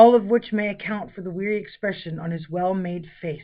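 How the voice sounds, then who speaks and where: The voice moves at a fairly quick pace with ordinary pitch variation. It is a plain, everyday voice. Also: woman. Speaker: audiobook narrator. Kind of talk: audiobook narration, literary fiction reading.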